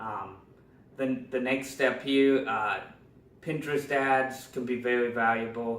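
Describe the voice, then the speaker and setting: A medium-pitched man amid noticeable background noise and audible room echo. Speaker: digital marketing trainer. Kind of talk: tutorial. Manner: fast.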